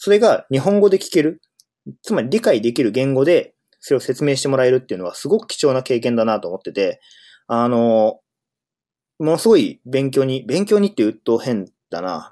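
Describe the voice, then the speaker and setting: In a very clean recording with a silent background, a man with a dark, mellow tone speaks at a moderate pace, his pitch swinging very widely. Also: medium pitch for a man. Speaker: podcast host, software engineer. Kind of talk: solo casual monologue. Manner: hesitant, many fillers.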